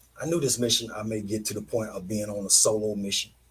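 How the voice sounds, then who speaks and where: A man's somewhat breathy, fairly low voice at a fairly quick pace. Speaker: online show host. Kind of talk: casual monologue. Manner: halting.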